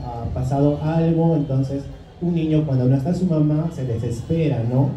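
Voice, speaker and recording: The man's pitch is fairly high and his intonation fairly even. Noticeable background noise and audible room echo accompany him. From Peru, Ayacucho highlands. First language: Quechua (speaking Spanish). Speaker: author. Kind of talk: book presentation talk. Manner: hesitant, many fillers.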